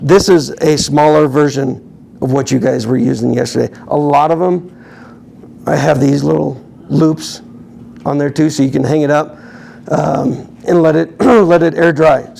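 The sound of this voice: Putting on a character voice, a man sounds raspy and hoarse with a fairly high pitch, ordinary pitch variation, and a moderate pace over light background noise.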